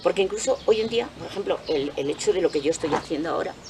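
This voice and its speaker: A woman talks fairly quickly while noticeable background noise runs underneath. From Spain, Cuenca province. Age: 60s. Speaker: retired artisan soap maker. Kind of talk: interview.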